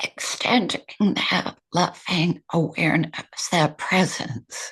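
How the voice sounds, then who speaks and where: A woman whispering at a very slow pace. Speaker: meditation teacher and author. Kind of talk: interview answer.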